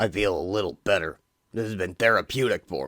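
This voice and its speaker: A man in a put-on character voice talks at a fairly quick pace, raspy and with big swings in loudness. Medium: read story. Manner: volatile, snarling.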